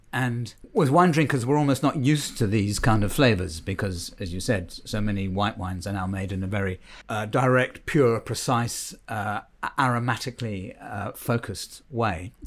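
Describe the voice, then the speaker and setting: On a very clean recording with a silent background, a man with a British accent speaks at a moderate pace in a fairly low voice with ordinary pitch variation. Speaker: wine director. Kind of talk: casual interview chat.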